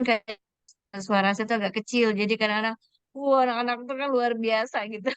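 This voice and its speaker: At a fairly quick pace, a woman with a fairly high voice keeps her intonation fairly even, recorded dry and close with no echo. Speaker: preschool teacher, audience member asking a question. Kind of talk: question in online webinar. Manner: halting, many fillers.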